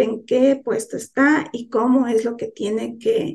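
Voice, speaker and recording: A woman speaks at a fairly high pitch with a dark, mellow tone and ordinary pitch variation. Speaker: lay church teacher. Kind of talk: sermon. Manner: soft-spoken.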